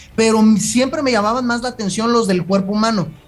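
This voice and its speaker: A man talks at a fairly quick pace. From Jalisco, Mexico. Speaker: sports nutritionist and personal trainer. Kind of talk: casual interview chat.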